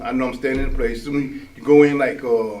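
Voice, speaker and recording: A man speaks at a fairly quick pace. There is noticeable background noise and audible room echo. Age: 60s. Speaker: formerly incarcerated man. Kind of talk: testimony in a casual discussion. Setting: live-streamed studio discussion. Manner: halting, many repetitions.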